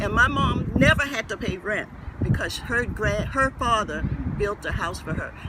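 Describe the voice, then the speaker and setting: An American-accented man speaks at a moderate pace and a high pitch with lively intonation over noticeable background noise. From Gullah Geechee community, US Southeast. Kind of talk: interview answer.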